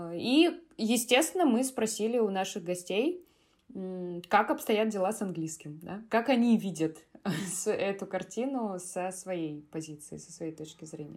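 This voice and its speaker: A woman speaks in a normal speaking voice at medium pitch. Her pace is fairly slow, and her intonation is lively. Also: big swings in loudness. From Russia, Kaliningrad. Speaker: podcast co-host, English teacher. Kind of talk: casual chat.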